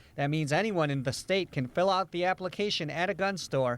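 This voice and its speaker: Speaking at a moderate pace with ordinary pitch variation, a man comes through over noticeable background noise. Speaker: TV news reporter. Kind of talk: TV news report.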